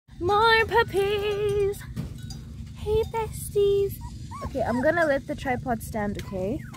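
Against noticeable background noise, a woman with an extremely high pitch speaks at a very slow pace, leaving long, frequent pauses and showing big swings in loudness. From Namibia. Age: 20s. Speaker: vlogger. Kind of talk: casual vlog talk to camera.

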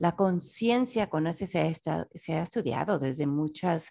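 A woman with a very deep, low pitch speaks at a fairly slow pace. Her intonation is lively, and the background is quiet. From Mexico City. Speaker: self-development author and teacher. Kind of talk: interview conversation.

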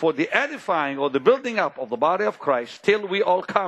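Against a quiet background, a man talks at a fairly quick pace. His pitch swings very widely. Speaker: preacher. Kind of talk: sermon. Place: church. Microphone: headset.

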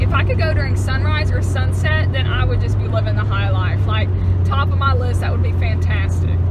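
Delivered at a fairly quick pace, the speech has a dry sound with no echo over loud background noise. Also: woman. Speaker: vlogger. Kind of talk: casual vlog chat. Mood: cheerful, enthusiastic. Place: car. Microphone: phone near.

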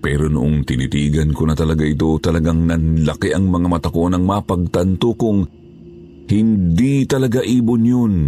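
Music plays in the background while a man talks at a moderate pace. His pitch is very deep and low, his loudness very even, and his intonation lively. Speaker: horror story narrator. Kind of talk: scripted narration.

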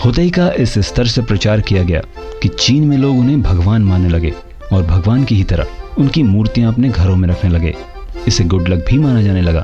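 Music in the background behind a man's fairly low voice, with lively intonation, very even loudness and a moderate pace. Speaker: voice-over artist. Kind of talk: educational storytelling narration.

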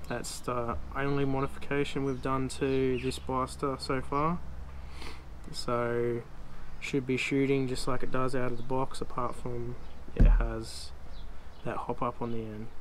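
This man speaks at a fairly slow pace, with long, frequent pauses. Light background noise runs underneath. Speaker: hobby reviewer. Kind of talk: product review. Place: garden. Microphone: camera far.

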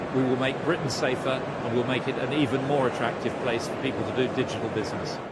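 Loud noise fills the background behind a man talking. His voice is dry, with no echo. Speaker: government minister. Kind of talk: interview answer. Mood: firm, assured. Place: hall.

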